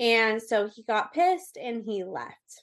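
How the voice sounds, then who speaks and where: Against a quiet background, a woman talks at a very slow pace in a fairly high pitch. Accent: Californian. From US West Coast, Orange County, California. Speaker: abuse survivor and advocate. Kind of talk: interview.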